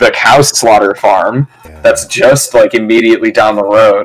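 Speaking in a plain, everyday voice, a man with an American accent keeps a medium pitch and ordinary pitch variation. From Michigan. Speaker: stand-up comedian. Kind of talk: casual chat.

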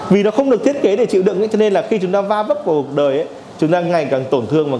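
Amid noticeable background noise and audible room echo, a man talks very fast at a high pitch with very wide swings. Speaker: workshop instructor. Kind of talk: lecture. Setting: classroom with live audience.

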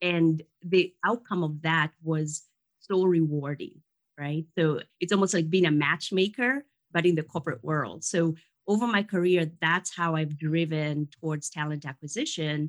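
Recorded dry and close with no echo, a woman with an American accent speaks at a fairly slow pace, her fairly low pitch varying in an ordinary way. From Kenya. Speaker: career coach and recruiting consultant. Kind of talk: interview.

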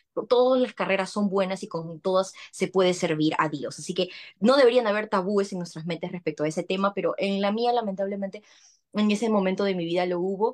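Speaking at a fairly quick pace, a woman uses a medium pitch with ordinary variation. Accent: Peruvian. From Peru, Lima. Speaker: communicator, trained teacher. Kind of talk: casual chat.

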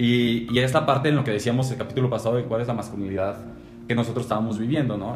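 A very fast pace with a Mexican accent and fairly even intonation, plus audible room echo and noticeable background noise. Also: man, medium pitch for a man. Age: 20s. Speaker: podcast co-host. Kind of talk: casual chat.

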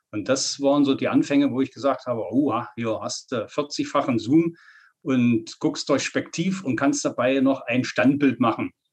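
A man talks at a fairly slow pace. His pitch is fairly high, and his intonation stays fairly even. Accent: Saxony-Anhalt. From Saxony-Anhalt, eastern Germany. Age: 50s. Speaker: nature photographer. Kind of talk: interview.

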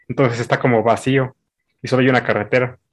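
A man with a Mexican accent, medium pitch, fairly even intonation and a fairly quick pace. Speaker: university student. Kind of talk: casual chat.

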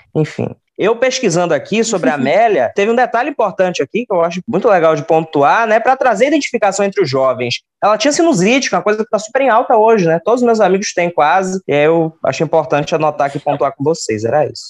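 Pitched high for a man, his voice swings very widely as he races along at a very fast pace with hardly any pauses, the sound dry and close with no echo. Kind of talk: casual chat with history storytelling.

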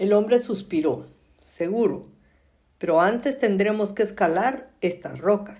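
This is an unforced reading voice. The pitch variation is ordinary.

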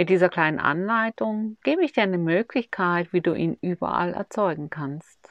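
A woman with a plain, everyday voice speaks at a fairly slow pace and fairly low pitch, her intonation lively. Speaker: meditation guide. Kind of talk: guided meditation. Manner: slow, soothing, calm and gentle, with long pauses.

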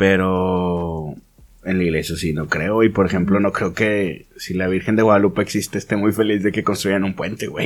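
A man talks at a moderate pace in a very deep, low pitch. His intonation stays fairly even. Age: 20s. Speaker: rapper / solo musician. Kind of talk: casual chat. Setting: studio.

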